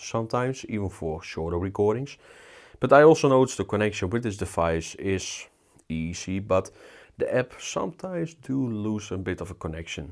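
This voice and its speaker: A man's fairly low voice with a Dutch accent and lively intonation, on a very clean recording with a silent background. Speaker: tech reviewer. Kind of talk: product review. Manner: casual, filler-heavy.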